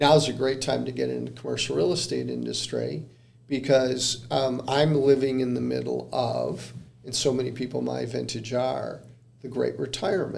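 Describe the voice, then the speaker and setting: Moderate pacing from a man, plus audible room echo. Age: 60s. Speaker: commercial real estate consultant. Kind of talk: podcast interview. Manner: hesitant, many fillers.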